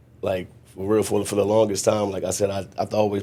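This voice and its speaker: A man talks in a monotone with flat intonation. His pitch sits fairly low. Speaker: mentor, former prisoner. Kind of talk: podcast interview. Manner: tends to rush.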